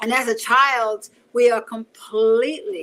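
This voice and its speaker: Speaking very slowly, a woman with a New York accent has a fairly high pitch. Her tone is bright and sharp. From Bronx, New York City. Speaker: martial artist and self-defense teacher. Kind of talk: interview answer.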